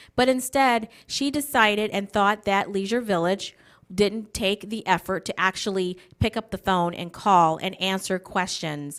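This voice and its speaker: In a very clean recording with a silent background, a woman with an American accent and a plain, everyday voice speaks at a fairly slow pace, at a medium pitch with ordinary pitch variation. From Wisconsin, US Midwest. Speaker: political candidate. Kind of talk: campaign speech. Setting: candidate forum broadcast on local TV.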